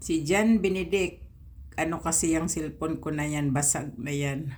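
A woman is speaking. Room echo can be heard. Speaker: private driver, vlogger. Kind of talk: personal vlog. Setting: alone in her room.

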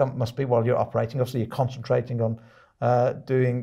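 A man with a British accent talks at a very fast pace in a somewhat breathy voice with a dark, mellow tone. The background is quiet. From UK. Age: 50s. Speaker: podcast host and author; podcast host. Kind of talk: casual interview. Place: studio.

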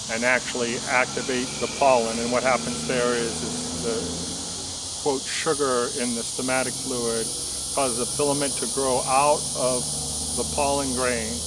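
Over loud background noise, a man talks at a fairly slow pace with ordinary pitch variation. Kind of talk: casual explanatory tutorial. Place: garden.

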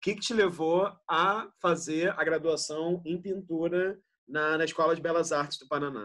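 A man speaks at a fairly slow pace in a high voice, his loudness swinging widely while his pitch varies in an ordinary way over a quiet background. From Rio de Janeiro, Brazil. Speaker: interviewer, curator. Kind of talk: interview. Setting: video call. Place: home room. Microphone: video call.

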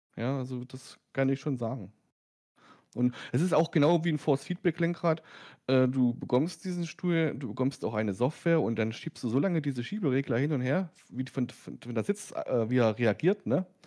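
Lively intonation, a moderate pace and a dark, mellow tone. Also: man, medium pitch for a man. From Lower Saxony, near Wolfsburg. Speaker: sim racing YouTuber. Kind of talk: casual chat. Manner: halting.

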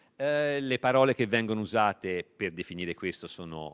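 An unremarkable speaking voice, a man's, comes at a fairly slow pace with a fairly low pitch and ordinary pitch variation. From Tuscany, Italy. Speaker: literature professor. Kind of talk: lecture. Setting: library event with audience, streamed. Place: hall. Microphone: handheld.

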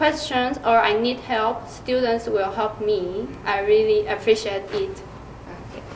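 Someone speaks at a very slow pace, with light background noise and audible room echo. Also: woman. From Taiwan. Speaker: exchange student. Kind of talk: interview. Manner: halting. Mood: friendly, smiling, a bit shy. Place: meeting room. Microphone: camera far.

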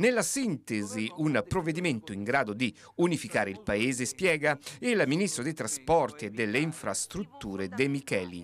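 At a moderate pace, a man with a medium pitch lets his voice swing very widely. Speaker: TV news reporter. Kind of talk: formal TV news report voiceover. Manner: formal; measured, steady newsreader delivery.

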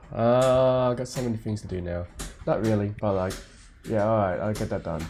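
The pace here is fairly quick, in an Australian accent. Pitch moves in an ordinary way. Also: man, fairly low pitch for a man. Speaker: vtuber streamer. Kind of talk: gaming stream commentary. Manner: casual, animated.

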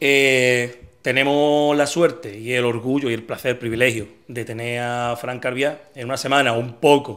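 The background is quiet. A man speaks in a monotone, flat intonation. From Andalusia, La Línea (Cádiz); Andalusia. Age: 40s. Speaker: podcast host. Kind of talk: casual interview; sponsor mention. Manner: hesitant, many fillers. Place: home room. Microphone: studio mic.

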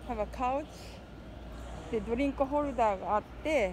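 A woman speaks at a fairly high pitch and a moderate pace, with ordinary pitch variation. Background noise is clearly audible.

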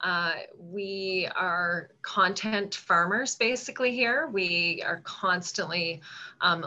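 In a Canadian Maritime accent, a woman talks with a bright, sharp tone. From Nova Scotia, Canada. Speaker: food marketing association director; panelist. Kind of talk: panel discussion. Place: home room. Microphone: video call.

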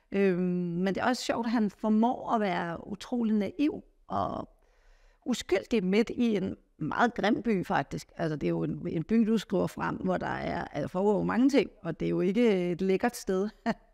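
Over a quiet background, a woman speaks fairly slowly in a dark, mellow tone with ordinary pitch variation. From Denmark. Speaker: interviewer. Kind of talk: interview. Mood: warm, curious. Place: home room. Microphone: lapel.

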